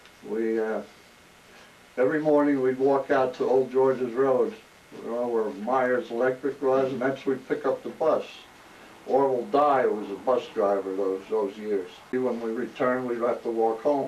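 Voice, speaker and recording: A man with an American accent talks at a moderate pace and medium pitch. His intonation is fairly even, with noticeable background noise. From New Jersey, South Brunswick. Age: 80s+. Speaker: oral history interviewee, retired corrections officer. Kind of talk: oral history interview. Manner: halting, with fillers and restarts.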